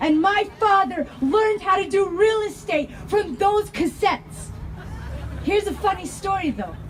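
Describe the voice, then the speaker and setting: A woman with an American accent, extremely high in pitch, with ordinary pitch variation, at a fairly slow pace, with crowd noise in the background. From Denver, Colorado. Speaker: activist speaker. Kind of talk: rally speech.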